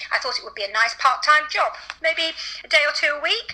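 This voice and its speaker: Raising and projecting her high voice, a woman with a British accent speaks over noticeable background noise. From England. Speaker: veterinarian. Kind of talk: interview.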